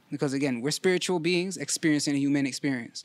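In a very clean recording with a silent background, a plain, everyday voice comes across dry and close with no echo, using fairly even intonation. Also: man. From Toronto, Canada (Scarborough). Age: 30s. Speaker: weight loss story guest. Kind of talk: casual interview.

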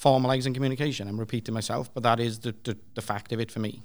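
A very fast pace with fairly even intonation. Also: man. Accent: Welsh. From Wales (Swansea). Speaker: developer evangelist. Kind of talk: panel discussion. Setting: stage with audience.

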